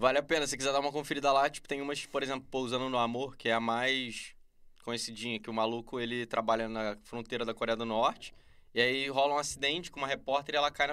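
Talking very fast in a Rio de Janeiro accent, a man has a bright, sharp tone and fairly even intonation. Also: medium pitch for a man. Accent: Carioca Brazilian Portuguese. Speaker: YouTuber reviewing TV series. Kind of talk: casual chat. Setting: podcast studio.

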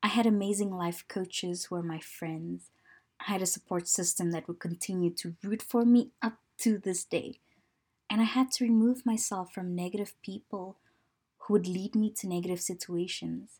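A woman in a normal speaking voice talks at a medium pitch and moderate pace with ordinary pitch variation, on a very clean recording with a silent background. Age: 30s. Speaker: lifestyle podcast host. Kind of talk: personal monologue podcast.

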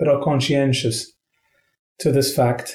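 Somewhat breathy, a man talks at a fairly high pitch with a dark, mellow tone. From Qatar. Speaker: ambassador. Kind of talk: interview conversation.

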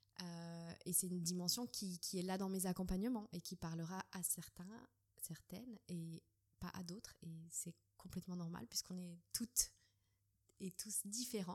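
With a dark, mellow tone, a woman talks at a fairly slow pace and fairly low pitch, her somewhat breathy voice keeping a fairly even intonation. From Switzerland. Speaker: dance teacher and doula. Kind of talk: interview. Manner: hesitant.

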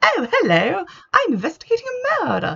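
A put-on character voice, female-sounding and nasal, goes at an extremely high pitch and a fairly quick pace. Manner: mocking.

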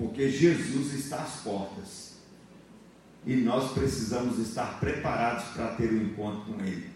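With very wide pitch swings, a man talks at a fairly slow pace amid noticeable background noise. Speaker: church leader. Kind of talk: prayer and closing blessing. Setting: church.

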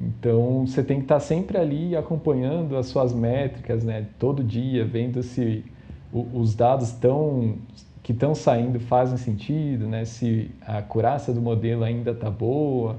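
A man's dark, mellow, somewhat breathy voice at medium pitch, fairly slow and with fairly even intonation. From Brazil, São Paulo city. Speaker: data scientist. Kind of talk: casual interview. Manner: hesitant, many fillers.

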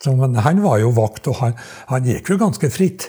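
Lively intonation carries a man's dark, mellow voice. He sounds somewhat breathy and keeps a moderate pace. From Trøndelag, Norway (Skogn). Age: 80s+. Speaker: retired dialect researcher. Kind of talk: interview storytelling. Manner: halting, many repetitions.

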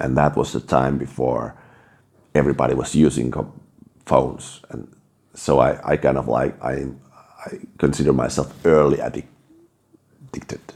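Using a very deep, low pitch, a man speaks at a moderate pace in a flat monotone, with big swings in loudness and long, frequent pauses. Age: 30s. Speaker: podcast host. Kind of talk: personal monologue. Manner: halting, many restarts.

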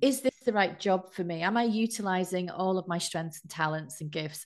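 An unremarkable speaking voice from a woman, medium in pitch, over a quiet background. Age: 50s. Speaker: life coach and meditation teacher. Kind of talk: casual interview.

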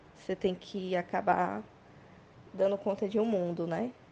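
A woman speaks at a medium pitch and moderate pace, her intonation fairly even. Her tone is dark and mellow, with vocal fry. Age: 20s. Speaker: beer sommelier. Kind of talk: voice message testimony.

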